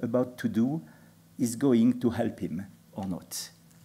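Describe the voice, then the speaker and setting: A man with a non-native accent, dark, mellow tone, ordinary pitch variation and a very slow pace. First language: not English. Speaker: panel speaker. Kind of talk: panel talk. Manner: halting.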